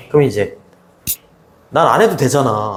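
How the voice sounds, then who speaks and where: A man's somewhat breathy voice, fairly quick in pace, with lively intonation. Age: 60s. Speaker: high school English teacher. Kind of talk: casual chat with students. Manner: casual, repetitive.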